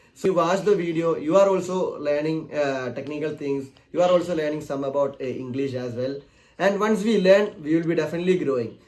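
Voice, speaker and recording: With a Keralan accent, a man talks at a fairly quick pace, his fairly high pitch varying in an ordinary way. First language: Malayalam. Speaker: technical YouTuber. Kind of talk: channel announcement talk. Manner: halting, many fillers.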